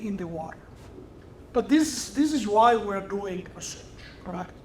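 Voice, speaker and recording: In an Italian accent, a man with a high pitch talks at a moderate pace, with audible room echo around him. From Italy. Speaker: research chemist. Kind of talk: lecture.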